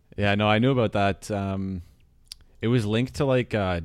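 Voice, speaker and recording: This man has a plain, everyday voice. His pitch is fairly low and his pace moderate. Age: 20s. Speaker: podcast co-host. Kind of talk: casual chat. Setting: online call.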